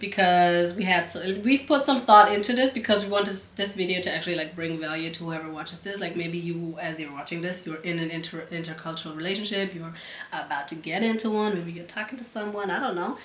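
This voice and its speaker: A woman with a German accent talks very fast in a fairly low pitch with big swings in loudness, amid noticeable background noise and audible room echo. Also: ordinary pitch variation. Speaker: couple vlogger. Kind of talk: casual chat.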